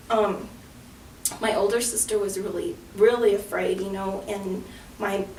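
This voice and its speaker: Over noticeable background noise, a woman at medium pitch talks fairly slowly in a flat monotone, leaving long, frequent pauses. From Antonito, Colorado, San Luis Valley. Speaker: community organizer, clean water NGO founder. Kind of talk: interview answer.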